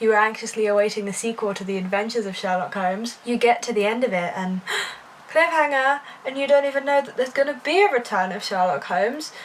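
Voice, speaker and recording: A British-accented woman at a very fast pace, lively intonation and big swings in loudness, with noticeable background noise. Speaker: book vlogger. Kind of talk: casual vlog. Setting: at home. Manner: quiet.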